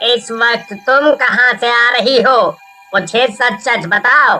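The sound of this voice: The pace here is fairly slow. The voice is a cartoonish character voice. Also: female-sounding voice, high pitch for a woman.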